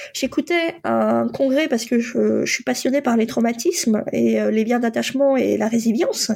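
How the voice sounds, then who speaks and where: A woman at a moderate pace, with very even loudness and hardly any pauses. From France, born in Poland. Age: 40s. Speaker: life coach and psychotherapist. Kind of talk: personal testimony. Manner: hesitant, many fillers.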